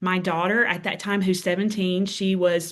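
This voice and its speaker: The background is quiet. A woman talks in a Southern US accent. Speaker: author and speaker. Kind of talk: interview testimony.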